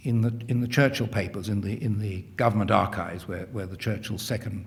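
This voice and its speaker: Audible room echo surrounds a man's fairly low, somewhat breathy voice. He talks at a very fast pace with fairly even intonation. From England, London. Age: 60s. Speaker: historian. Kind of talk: lecture Q&A answer. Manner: halting, frequent repetitions and fillers.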